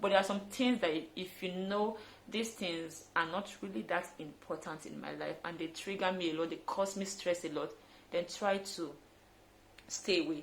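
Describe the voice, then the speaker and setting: Ordinary pitch variation in a woman's fairly low voice. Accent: Nigerian. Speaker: fitness trainer. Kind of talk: vlog tutorial. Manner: fast; animated.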